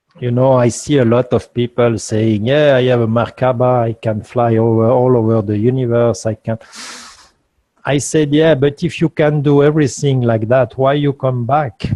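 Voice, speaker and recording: Intonation holds fairly even. The pace is moderate. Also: man, medium pitch for a man. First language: not English. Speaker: guest speaker on free energy. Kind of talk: interview Q&A. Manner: halting.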